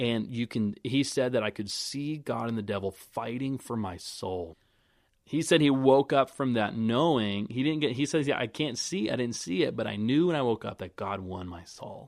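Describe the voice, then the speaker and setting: An American man with lively intonation talks at a moderate pace and medium pitch. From South Florida (North Miami), Colombian family. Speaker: ministry intern. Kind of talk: casual interview, personal testimony. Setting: video call. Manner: animated.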